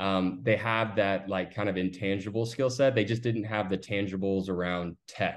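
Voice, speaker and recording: A man with an American accent speaks at a fairly low pitch and a moderate pace, with hardly any pauses. His is an ordinary speaking voice. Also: fairly even intonation. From Austin, Texas. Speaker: recruiting firm founder. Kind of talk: interview.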